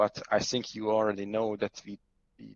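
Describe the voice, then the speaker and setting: A man with a Hungarian accent talks at a moderate pace. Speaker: cloud architect. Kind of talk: conference talk with live demo. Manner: halting, many fillers.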